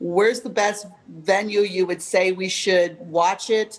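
Speaking at a fairly slow pace, a woman is heard over noticeable background noise. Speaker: co-host, doctor. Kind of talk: radio interview. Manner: animated, chatty.

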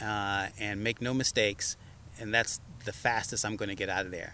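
In an American accent, a man speaks at a moderate pace with a bright, sharp tone. The background is quiet. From Chicago. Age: 40s. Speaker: entrepreneur and search and rescue volunteer. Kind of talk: casual interview. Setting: outdoors in a park. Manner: halting, repeats words.

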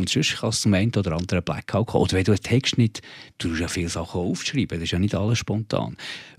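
Somewhat breathy speech with ordinary pitch variation comes through in a very clean recording with a silent background and a dry, close sound with no echo. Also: man. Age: 40s. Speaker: radio host. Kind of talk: interview. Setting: studio.

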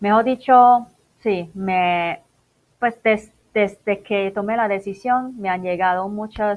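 Her delivery is very slow, with a pitch sitting in the middle of the female range. The rise and fall of her voice is ordinary. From Macao. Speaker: business internationalization coordinator. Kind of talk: interview. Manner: halting.

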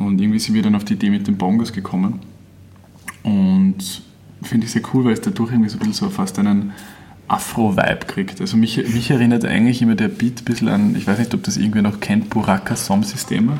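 A man talks at a very fast pace in a fairly low pitch, his loudness very even and his intonation fairly even, over noticeable background noise. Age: 20s. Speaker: singer and guitarist. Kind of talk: casual interview.

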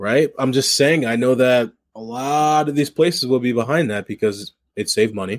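A man with an American accent talks at a moderate pace in an ordinary speaking voice. The recording is very clean, with a silent background. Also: medium pitch for a man, ordinary pitch variation. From St. Louis area, US Midwest. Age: 30s. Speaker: sports podcast co-host. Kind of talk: casual chat. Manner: laughs often.

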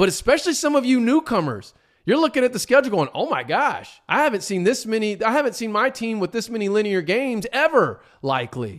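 A man's extremely high-pitched voice, very fast and lively in intonation, on a very clean recording with a silent background. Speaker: college sports podcast host. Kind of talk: casual solo commentary.

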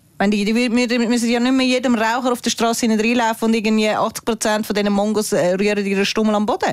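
A woman's fairly high, animated voice at a fairly quick pace, very even in loudness, with noticeable background noise. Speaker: podcast co-host. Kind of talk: casual chat.

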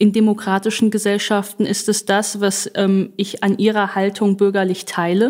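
Hardly pausing, a woman speaks at a moderate pace in a medium-pitched voice, with monotone, flat intonation and very even loudness. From Germany. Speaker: politician and publicist. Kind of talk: panel discussion.

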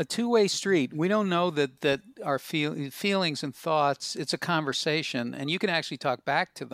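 A man speaks in a plain, everyday voice at a moderate pace, with hardly any pauses and ordinary pitch variation. The recording is very clean, with a silent background. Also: fairly high pitch for a man, dry, close sound with no echo. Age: 60s. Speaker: comedian and podcast host. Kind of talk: casual chat.

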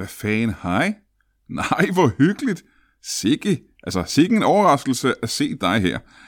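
A man with a fairly high voice and vocal fry talks at a very slow pace. His pitch swings very widely, in a very clean recording with a silent background. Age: 40s. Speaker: comedian and podcast host. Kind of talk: live improv comedy show. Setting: stage with audience.

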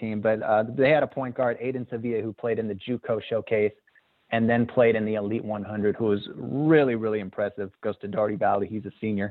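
In an American accent, a man with a plain, everyday voice speaks at a moderate pace and medium pitch with fairly even intonation. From Southern California (Azusa). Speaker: youth basketball coach and game videographer. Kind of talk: casual interview.

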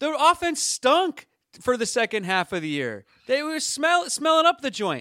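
A man's raised, projected voice with very wide pitch swings, in a very clean recording with a silent background and a dry, close sound with no echo. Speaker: sports podcast host. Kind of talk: casual chat. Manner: loud.

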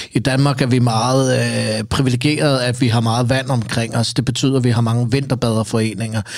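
Here a man talks at a moderate pace in a normal speaking voice. His pitch is medium. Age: 30s. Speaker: sauna ritual performer and judge. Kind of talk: casual interview chat.

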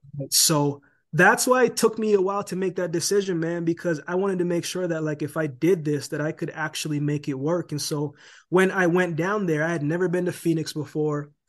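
Against a quiet background, a man with a high pitch for a man talks at a fairly quick pace with ordinary pitch variation. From Jamaica. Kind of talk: casual interview chat. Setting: podcast interview. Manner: conversational, reflective.

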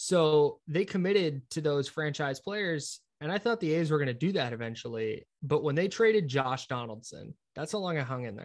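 A plain, everyday voice with an American accent, lively intonation, and a moderate pace against a quiet background. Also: man, fairly high pitch for a man. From US West Coast, Brentwood, California (East Bay). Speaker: sports radio producer and host. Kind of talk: casual chat. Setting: office, down the hall.

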